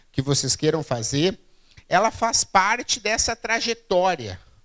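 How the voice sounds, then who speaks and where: There is a very clean recording with a silent background. The man in it talks at a fairly slow pace. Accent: Rio Grande do Sul. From southern Brazil, Rio Grande do Sul (Santa Maria). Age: 40s. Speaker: keynote speaker on innovation. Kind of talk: public lecture. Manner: halting, frequent fillers and repeats.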